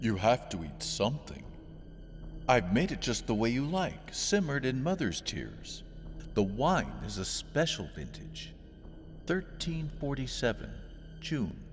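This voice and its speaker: Against clear background noise, a man uses a booming put-on character voice, talking at a fairly slow pace with long, frequent pauses. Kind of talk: wise and authoritative. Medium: read story. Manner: friendly, patient, non-judgmental.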